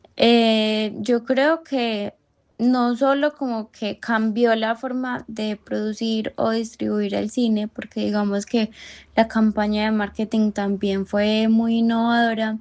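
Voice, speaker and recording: Speaking very slowly in a strong Antioquian accent, a woman holds a fairly high pitch with monotone, flat intonation. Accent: strong paisa. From Colombia, Medellín (paisa). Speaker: university student podcast co-host. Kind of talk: casual discussion podcast.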